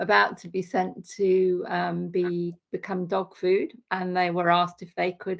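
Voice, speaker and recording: Woman in an English Midlands accent, fairly slow pace, hardly any pauses and big swings in loudness. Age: 60s. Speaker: accountant, vegan sanctuary volunteer. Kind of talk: podcast interview. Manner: hesitant, many fillers.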